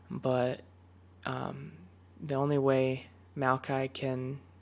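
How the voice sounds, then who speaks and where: Soft-spoken and relaxed in tone, a man speaks at medium pitch. His intonation is monotone and flat. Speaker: League of Legends player and ASMR content creator. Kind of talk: gaming tier list commentary, casual talk to camera. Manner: soft-spoken, relaxed.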